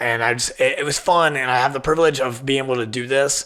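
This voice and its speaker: Plain, everyday voice of a man with an American accent, medium pitch, fairly quick pace and fairly even intonation. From southern Ohio. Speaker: podcast host. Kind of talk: casual monologue. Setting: studio in old firehouse. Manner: casual, filler-heavy.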